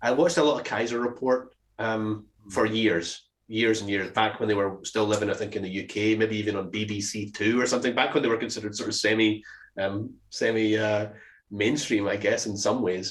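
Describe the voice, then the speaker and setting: A man with a Scottish accent speaks fairly quickly in a fairly low voice with fairly even intonation. The recording is very clean, with a silent background. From Scotland. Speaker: podcast co-host. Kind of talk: casual chat. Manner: halting, many fillers and restarts.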